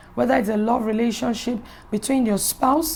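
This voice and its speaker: There's noticeable background noise behind a woman's fairly high voice. Her pitch variation is ordinary. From Nigeria (Yoruba). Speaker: pastor. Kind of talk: inspirational talk.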